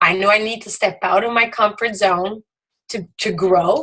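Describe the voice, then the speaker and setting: Speaking at a fairly slow pace with fairly even intonation, a woman with a French Canadian accent has a medium pitch and a bright, sharp tone. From Quebec. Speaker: direct sales team leader. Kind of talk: motivational talk.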